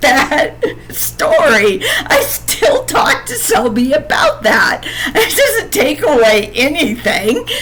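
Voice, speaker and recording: A woman speaks at a very slow pace. Room echo is audible, along with noticeable background noise. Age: 50s. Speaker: podcaster telling personal story. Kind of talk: personal storytelling monologue. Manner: halting, repetitive.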